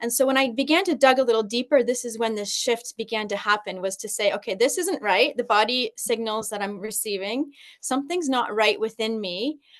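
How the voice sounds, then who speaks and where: With a Canadian accent, a woman of fairly high pitch speaks at a fairly quick pace with ordinary pitch variation and hardly any pauses. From Canada. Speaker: personal development coach and teacher. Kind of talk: podcast interview. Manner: hesitant, many fillers.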